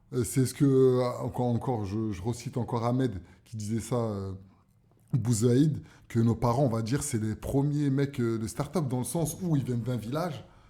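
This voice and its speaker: At a moderate pace, a man talks in a dark, mellow tone with medium pitch and ordinary pitch variation. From Paris, 18th arrondissement (Barbès). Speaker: cultural entrepreneur. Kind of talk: radio interview. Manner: hesitant, many fillers.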